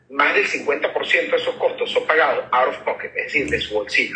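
There is noticeable background noise behind this man's speech. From Venezuela. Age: 40s. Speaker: startup CEO and physician. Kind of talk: interview.

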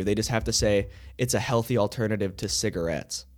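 A man talking at a very fast pace with vocal fry, on a very clean recording with a silent background. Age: 20s. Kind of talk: casual chat. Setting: studio.

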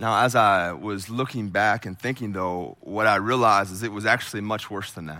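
A man with an American accent, fairly low-pitched, in a bright, sharp tone, with fairly even intonation, big swings in loudness, moderate pace and hardly any pauses. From southeastern Ohio, rural. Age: 30s. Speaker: pastor. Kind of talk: sermon. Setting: church.

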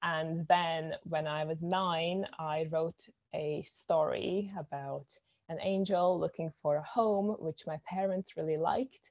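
Speaking very slowly, a woman with a Latvian accent has a fairly low pitch and fairly even intonation. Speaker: poet and filmmaker. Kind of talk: casual chat.

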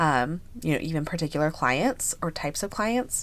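A woman speaks at a very deep, low pitch. Her pace is moderate. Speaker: podcast host, business coach. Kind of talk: casual Q&A monologue. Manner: casual with filler words.

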